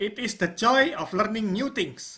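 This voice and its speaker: This woman has a non-native accent and a bright, sharp tone at fairly high pitch. She speaks at a fairly slow pace. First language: not English. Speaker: online course instructor. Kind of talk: tutorial.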